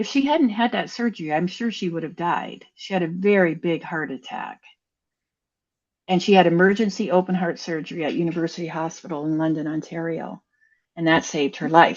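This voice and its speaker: In an unremarkable speaking voice, a woman with a Canadian accent talks at a fairly quick pace, her fairly low pitch showing ordinary variation while her loudness swings widely. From Canada. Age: 60s. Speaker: author and former ICU nurse. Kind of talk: interview.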